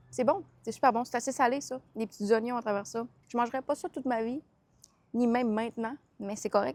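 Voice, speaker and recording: In a Quebec accent, the voice comes across in an animated tone at a moderate pace with ordinary pitch variation. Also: woman. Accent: Québécois French. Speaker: food vlogger. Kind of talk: casual food review vlog.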